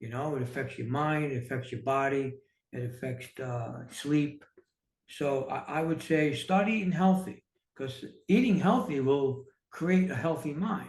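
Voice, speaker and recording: With audible room echo, a man in a New York accent speaks at a fairly slow pace, somewhat breathy, with ordinary pitch variation. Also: fairly high pitch for a man. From New York City. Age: 60s. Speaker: entrepreneur and author. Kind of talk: casual interview.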